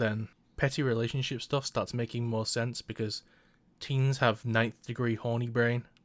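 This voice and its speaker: A man speaks at a medium pitch and a moderate pace, with monotone, flat intonation. The recording is very clean, with a silent background. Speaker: anime reviewer. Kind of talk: scripted commentary. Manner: droning.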